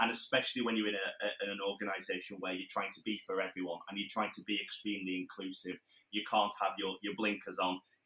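Delivered at a very fast pace in a Lancashire accent, the voice has a bright, sharp tone. Its intonation stays monotone and flat. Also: man, fairly low pitch for a man. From northern England, Blackburn, Lancashire. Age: 20s. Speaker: mental health charity founder and public speaker. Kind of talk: casual interview.

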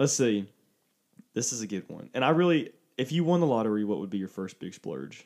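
Speaking at a fairly quick pace, a man swings widely in pitch and shows big swings in loudness. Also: medium pitch for a man. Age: 20s. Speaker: podcast co-host. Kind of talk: casual chat.

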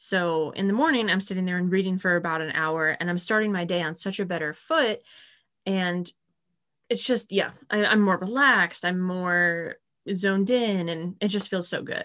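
Over a quiet background, a woman speaks in a bright, sharp tone. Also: medium pitch for a woman, ordinary pitch variation, moderate pace. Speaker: podcast co-host. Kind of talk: casual chat.

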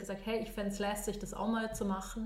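Speaking fairly quickly in a Bavarian accent, a woman with a fairly high voice is heard over noticeable background noise and audible room echo. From Munich, Germany. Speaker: design thinking consultant. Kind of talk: casual interview.

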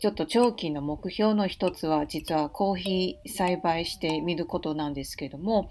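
Her pitch varies in an ordinary way as the woman speaks at a moderate speed. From Taiwan, Taipei. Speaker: podcast host. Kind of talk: unscripted monologue. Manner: halting, many fillers.

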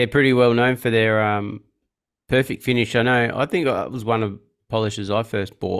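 Fairly even intonation from a man with an Australian accent. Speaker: podcast host and car detailer. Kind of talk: casual interview. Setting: podcast recording. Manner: hesitant with many fillers.

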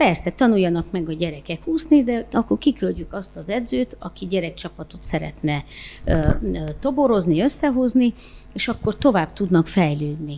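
A woman's dark, mellow tone, fairly low in pitch, with very wide pitch swings at a fairly slow pace. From Romania, Oradea (Hungarian minority). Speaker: sports club president and local councillor. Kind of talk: interview.

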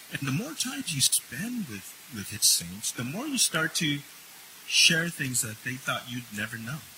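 Over noticeable background noise, a man talks fairly slowly at a fairly high pitch, his voice making very wide pitch swings. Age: 50s. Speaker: minister and chaplain. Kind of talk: sermon.

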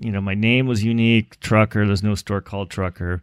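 A man with a Californian accent talks at a fairly quick pace. His voice sits fairly low, with fairly even intonation. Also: very clean recording, silent background. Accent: Californian American. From Los Angeles, Southern California. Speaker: eyewear company founder. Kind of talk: interview.

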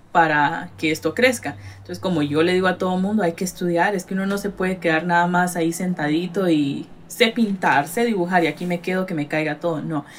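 An unremarkable speaking voice with ordinary pitch variation talks with hardly any pauses. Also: woman, fairly low pitch for a woman. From Guatemala, Retalhuleu. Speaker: artist and gallery owner. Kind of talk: casual interview.

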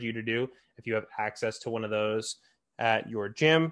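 A man's normal speaking voice at medium pitch and a moderate pace, with a quiet background. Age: 20s. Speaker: fitness podcast host. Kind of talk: solo podcast monologue.

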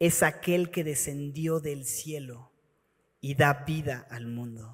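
Very slowly, a man talks in a fairly high voice whose pitch shifts in an ordinary way. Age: 30s. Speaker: pastor. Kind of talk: sermon.

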